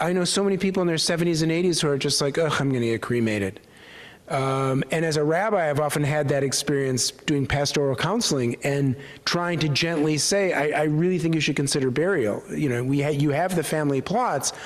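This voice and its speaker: A man with an American accent speaks at a fairly quick pace in a fairly high pitch. His loudness stays very even while his pitch varies in an ordinary way. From US Midwest, Milwaukee. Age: 60s. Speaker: rabbi. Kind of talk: Q&A after a talk. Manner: halting.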